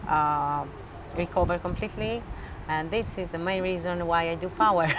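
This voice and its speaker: With audible room echo and noticeable background noise, a woman talks at a moderate pace, her fairly low pitch showing ordinary variation. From Albania. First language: Albanian. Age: 30s. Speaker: weightlifter. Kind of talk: interview. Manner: halting.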